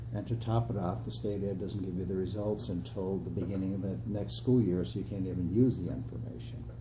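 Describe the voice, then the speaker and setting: A dark, mellow voice with an American accent and vocal fry, fairly quick in pace with very wide pitch swings and audible room echo. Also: man, very deep, low pitch for a man. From upstate New York (Adirondacks). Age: 60s. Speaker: political candidate, retired school superintendent. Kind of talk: interview. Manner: hesitant fillers.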